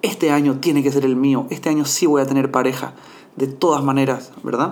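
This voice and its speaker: The voice moves at a moderate pace with fairly even intonation, and audible room echo surrounds it. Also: man. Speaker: podcast host and mindfulness coach. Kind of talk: solo podcast monologue.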